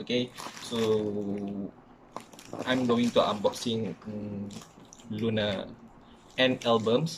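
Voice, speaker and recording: Here a man talks. His voice has a medium pitch. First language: not English. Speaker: K-pop fan YouTuber. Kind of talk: casual talk to camera.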